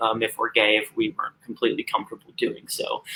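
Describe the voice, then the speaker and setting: This man talks at a fairly quick pace. He speaks with an American accent. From US Midwest, Missouri near St. Louis. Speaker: suicide prevention and LGBT advocate. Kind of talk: live interview.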